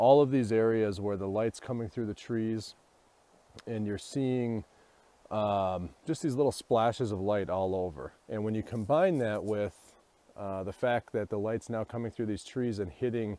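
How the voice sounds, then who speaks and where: A man's fairly low voice, dark and mellow in tone, with ordinary pitch variation. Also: moderate pace, dry sound with no echo. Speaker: vlogger photographer. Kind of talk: casual vlog chat. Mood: reflective, slightly subdued. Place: forest. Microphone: earbuds.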